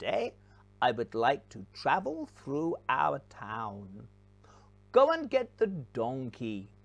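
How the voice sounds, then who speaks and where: Over a quiet background, a put-on character voice sits at a low-to-middle pitch. The pace is very slow. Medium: read story. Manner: mild, polite.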